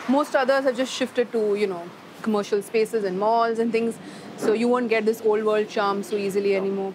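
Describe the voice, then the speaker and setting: A woman speaks fairly quickly with ordinary pitch variation and a fairly high pitch, noticeable background noise behind her. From India. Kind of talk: reality TV talk to camera.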